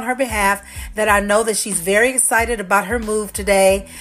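With music behind her, a woman talks at a moderate pace. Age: 50s. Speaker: podcast host and author. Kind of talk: solo podcast talk.

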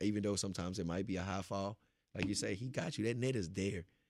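At a fairly quick pace, a plain, everyday voice moves with ordinary pitch variation on a very clean recording with a silent background. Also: man. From Beaumont, Texas. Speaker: motivational speaker. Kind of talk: casual interview, testimony.

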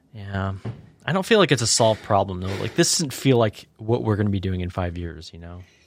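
A man speaks fairly quickly in a fairly low voice with lively intonation and big swings in loudness. It is a normal speaking voice. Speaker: podcast co-host. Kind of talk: casual banter podcast. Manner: joking, playful.

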